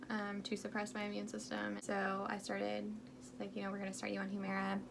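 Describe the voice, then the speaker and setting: A woman speaks at a fairly quick pace. Noticeable background noise and audible room echo fill the recording. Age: 20s. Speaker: health vlogger. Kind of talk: storytime vlog. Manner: casual, filler-heavy.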